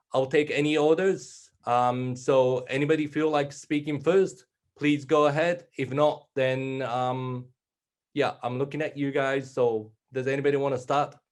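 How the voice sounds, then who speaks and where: A man's fairly high voice, fairly slow and fairly even in intonation. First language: Japanese. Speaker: panel moderator. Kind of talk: panel discussion.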